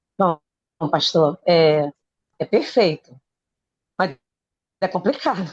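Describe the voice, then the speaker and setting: A woman's fairly low, lively voice at a very slow pace, with long, frequent pauses and a dry, close sound with no echo. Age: 60s. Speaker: student. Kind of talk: class comment. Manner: animated.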